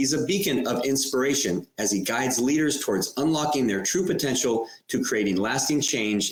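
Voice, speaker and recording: A man speaks in a normal speaking voice at a medium pitch. His intonation is lively and his pace fairly quick. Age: 50s. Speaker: podcast host. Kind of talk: podcast interview. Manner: scripted reading.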